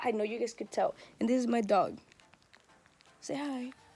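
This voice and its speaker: Music plays in the background as a woman speaks. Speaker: vlogger. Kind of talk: casual vlog. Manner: animated.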